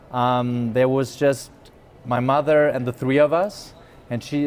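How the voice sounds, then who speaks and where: At a moderate pace, a man of medium pitch speaks in a German accent with fairly even intonation. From Germany. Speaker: business executive. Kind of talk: interview. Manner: halting.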